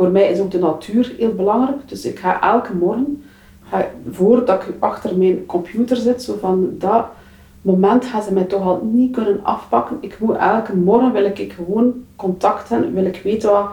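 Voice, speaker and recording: Noticeable background noise beneath a moderate pace and ordinary pitch variation. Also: woman, medium pitch for a woman. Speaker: public transport manager. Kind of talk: interview. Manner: halting.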